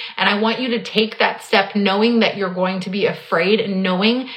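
A woman's fairly high, fairly evenly intoned voice amid noticeable background noise and audible room echo. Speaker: business coach podcast host. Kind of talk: solo podcast monologue. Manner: unstructured riffing.

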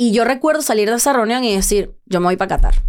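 A woman talks at a very fast pace. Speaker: comedian. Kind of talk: casual chat. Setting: studio.

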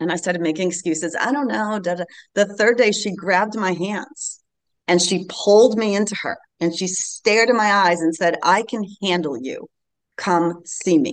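A woman with a plain, everyday voice talks at a moderate pace, her medium pitch showing ordinary variation. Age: 50s. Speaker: embodiment coach and energy healer. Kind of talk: casual interview.

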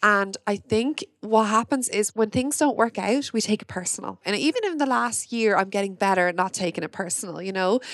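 A woman with an Irish accent, medium pitch and ordinary pitch variation, fairly quick with hardly any pauses, in a dry, close sound with no echo. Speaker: podcast host. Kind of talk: casual interview chat. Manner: excitable.

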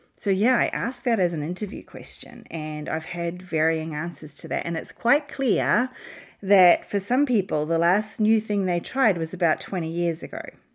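A woman uses an ordinary speaking voice, fairly low in pitch, at a moderate pace. Her intonation is lively. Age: 40s. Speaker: leadership coach podcast host. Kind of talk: solo podcast talk.

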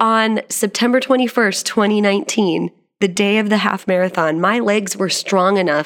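A woman talks at a medium pitch with ordinary pitch variation. The recording is very clean, with a silent background. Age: 30s. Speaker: podcast host and motivational speaker. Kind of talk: solo podcast monologue. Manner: animated.

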